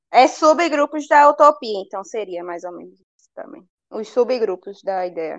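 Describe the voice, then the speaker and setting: Over a quiet background, a woman with a fairly high voice speaks at a moderate pace, her pitch swinging very widely and her loudness rising and falling sharply. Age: 20s. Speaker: book club guest, literary Instagram creator. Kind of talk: casual book discussion.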